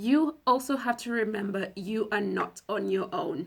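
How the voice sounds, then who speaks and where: Using a put-on character voice, a woman speaks in a hoarse, fairly high pitch with lively intonation at a moderate pace. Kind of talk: conversational advice.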